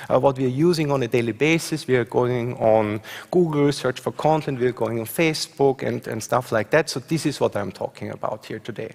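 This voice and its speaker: A man talks at a fairly quick pace with hardly any pauses, in an Austrian accent. His pitch is medium, with ordinary pitch variation. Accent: Austrian (own remark on his dialect). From Austria, Graz. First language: German. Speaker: professor. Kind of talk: conference talk with slides. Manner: hesitant, many fillers.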